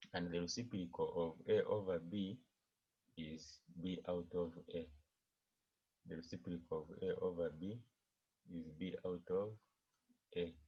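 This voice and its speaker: A man's very deep, low voice, somewhat breathy, dark and mellow in tone, with fairly even intonation, a fairly slow pace and long, frequent pauses. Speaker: maths teacher. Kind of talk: online maths lesson. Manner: slow, deliberate.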